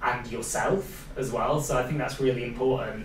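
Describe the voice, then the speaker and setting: A man with a Welsh accent, amid audible room echo and noticeable background noise. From Wales. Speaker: podcast host, social media coordinator. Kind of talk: casual interview chat.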